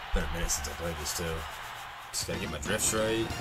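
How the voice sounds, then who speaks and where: There is music in the background while a man speaks. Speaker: gamer streamer. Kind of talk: gameplay commentary. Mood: frustrated, swearing at game. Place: home room. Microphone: headset.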